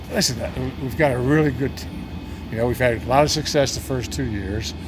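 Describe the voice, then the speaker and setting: A man talks with lively intonation at a fairly quick pace, with audible room echo and noticeable background noise around him. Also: medium pitch for a man. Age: 70s. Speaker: sports team owner. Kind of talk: interview. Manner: conversational with many fillers.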